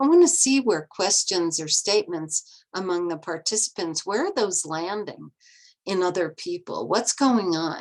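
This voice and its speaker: A woman speaks in a normal speaking voice at medium pitch. Her pace is fairly slow and her intonation lively. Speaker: restorative justice facilitator and trainer. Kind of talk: lecture.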